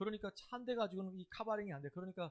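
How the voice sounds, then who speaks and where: A man speaks at a very fast pace. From Chungcheong, South Korea. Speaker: pastor. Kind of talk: sermon. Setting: church.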